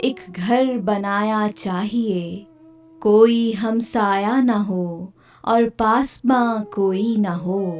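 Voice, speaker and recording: The tone is calm and the intonation fairly even. Music plays in the background. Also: woman, fairly high pitch for a woman. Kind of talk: poetry reading. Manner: calm, soft.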